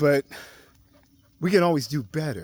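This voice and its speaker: Here a man with a fairly high pitch and a warm tone talks at a moderate pace in a dry, close sound with no echo. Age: 60s. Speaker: livestreamer / unity activist. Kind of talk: casual livestream monologue. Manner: halting, many repetitions and fillers; warm, informal address to viewers.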